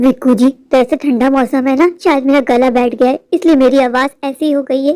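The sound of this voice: Doing a put-on character voice, a woman speaks high and hoarse at a fairly quick pace with fairly even intonation, in a dry, close sound with no echo.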